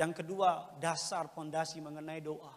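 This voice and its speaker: His pitch sits fairly high for a man, and his intonation stays monotone and flat. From Indonesia. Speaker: preacher. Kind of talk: sermon. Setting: church. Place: church. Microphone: handheld.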